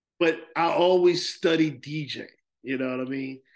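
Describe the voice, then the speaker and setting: Against a quiet background, a man speaks fairly slowly with a fairly high pitch, ordinary pitch variation and an ordinary speaking voice. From New Jersey, Plainfield. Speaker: DJ. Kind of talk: casual chat.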